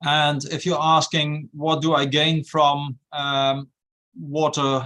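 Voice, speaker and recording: A man with a Dutch accent speaks at a fairly high pitch. His tone is bright and sharp, and his intonation is monotone and flat. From Netherlands. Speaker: university research director. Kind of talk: webinar discussion. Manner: hesitant, frequent fillers.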